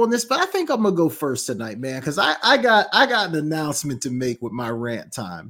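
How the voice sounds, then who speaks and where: A man with an American accent at a fairly quick pace, very wide pitch swings, on a very clean recording with a silent background. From Georgia, US. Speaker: sports show co-host, teacher. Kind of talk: casual sports talk show banter.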